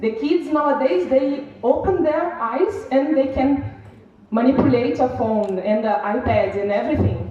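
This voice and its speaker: Audible room echo and noticeable background noise surround a woman with a Brazilian Portuguese accent. She speaks high and fairly slowly with lively intonation. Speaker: seminar speaker. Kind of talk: conference speech. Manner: halting.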